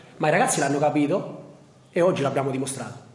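A man's voice with audible room echo. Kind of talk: press conference answer. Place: hall.

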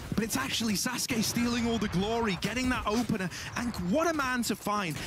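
Over music in the background, a man talks in an animated, dramatic tone. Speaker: esports caster play-by-play commentator. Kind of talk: live esports commentary, play-by-play. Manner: animated, fast-paced, dramatic, builds hype around clutch moments.

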